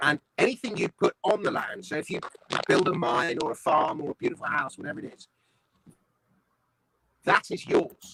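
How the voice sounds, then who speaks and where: A man with a southern English accent at a fairly quick pace, big swings in loudness, long and frequent pauses, and a dry, close sound with no echo. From London, England. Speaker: comedian, writer and voice-over artist. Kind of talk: interview answer. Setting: online video call.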